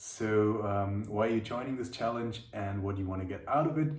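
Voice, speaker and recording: Over audible room echo, a man with a German accent talks at a fairly quick pace in a somewhat breathy voice. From Germany, Munich. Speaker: language teacher. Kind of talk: video monologue answering questions. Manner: halting, many fillers and repeats.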